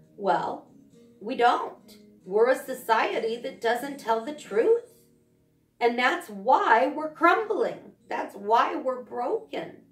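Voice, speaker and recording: Over music in the background, a woman with a high pitch speaks very slowly with lively intonation and big swings in loudness. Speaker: mental health video blogger. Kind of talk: monologue on social issue.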